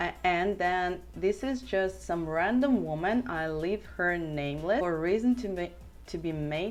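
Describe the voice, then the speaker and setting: With music in the background, a woman speaks at a fairly slow pace in a Russian accent. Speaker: big wave surfer. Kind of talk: casual talk to camera.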